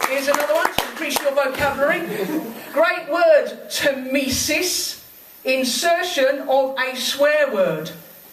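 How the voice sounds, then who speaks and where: Noticeable background noise sits behind a woman speaking in a high voice. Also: ordinary pitch variation, fairly slow pace. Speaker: poet and railway trade union member. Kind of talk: spoken word poetry performance at a live event. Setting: live venue, in front of an audience. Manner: humorous, comedic delivery.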